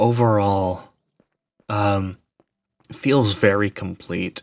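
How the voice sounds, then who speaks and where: The speaker is soft-spoken. Intonation stays fairly even. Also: man. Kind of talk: ASMR game world tour narration.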